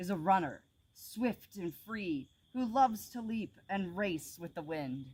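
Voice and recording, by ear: The clip is someone reading aloud in a natural voice.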